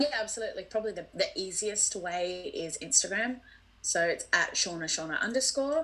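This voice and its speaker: This woman's fairly high voice swings very widely in pitch. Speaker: podcast guest sharing personal journey. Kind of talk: casual interview chat. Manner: fast.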